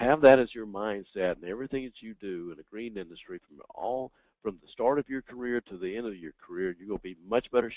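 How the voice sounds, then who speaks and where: A man with an American accent speaks with hardly any pauses and ordinary pitch variation. His loudness swings widely. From US South. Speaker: professor. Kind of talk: webinar Q&A. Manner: halting, many fillers.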